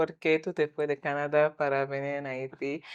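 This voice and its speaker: A woman's voice over a quiet background. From Quebec, Montreal. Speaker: guest interviewee. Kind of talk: interview. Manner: halting.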